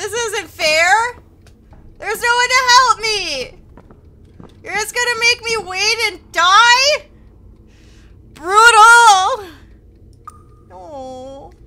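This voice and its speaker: Projecting a raised voice at an extremely high pitch, a woman speaks very slowly with long, frequent pauses, lively intonation, and big swings in loudness. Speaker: gaming streamer. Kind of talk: live gameplay streaming. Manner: loud screaming.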